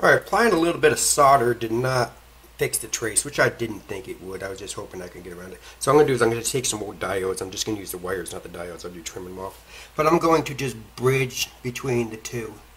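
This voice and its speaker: Talking very fast, a man uses lively intonation and big swings in loudness. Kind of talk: tutorial. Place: workshop.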